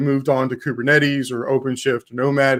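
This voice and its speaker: Speaking with a slight Texan accent, the man has a fairly high-pitched voice. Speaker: tech developer advocate, conference speaker. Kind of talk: conference talk. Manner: careful enunciation.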